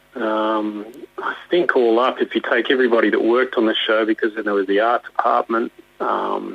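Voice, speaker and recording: Speaking at a moderate pace, a man can be heard over noticeable background noise. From Australia. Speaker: puppeteer. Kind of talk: interview answer. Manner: hesitant, casual.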